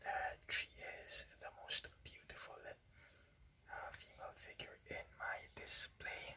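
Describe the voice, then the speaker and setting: Whispering, a man speaks at a very slow pace. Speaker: ASMR channel host and toy collector. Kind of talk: casual talk to camera, toy collection review. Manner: whispered, soft-spoken.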